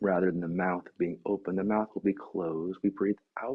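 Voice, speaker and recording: Here is an unremarkable speaking voice from a man, fairly low in pitch. He keeps a moderate pace and fairly even intonation. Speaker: yoga and meditation teacher. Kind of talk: guided meditation instruction.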